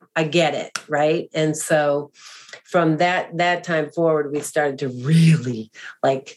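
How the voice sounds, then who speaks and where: Monotone and flat in intonation, a woman speaks in a very deep, low pitch. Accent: American. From US Northeast, greater Boston. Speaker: adoptive mother and author. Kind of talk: interview testimony.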